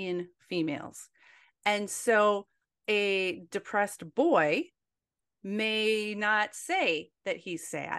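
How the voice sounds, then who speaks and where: The background is quiet. A woman talks at a medium pitch with lively intonation. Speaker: author and former nurse. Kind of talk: casual interview.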